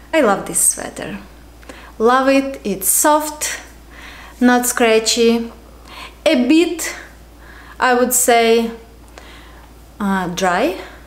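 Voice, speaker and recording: Over noticeable background noise and audible room echo, a woman with a Ukrainian accent speaks very slowly at a high pitch, with lively intonation and long, frequent pauses. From Ukraine. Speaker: knitting podcaster. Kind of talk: casual show-and-tell vlog. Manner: casual with filler words.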